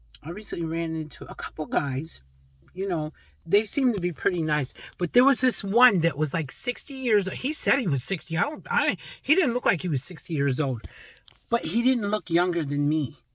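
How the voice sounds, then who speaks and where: At a moderate pace, a woman speaks in an animated tone with very wide pitch swings. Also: medium pitch for a woman. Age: 60s. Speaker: vlogger. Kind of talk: casual talk to camera.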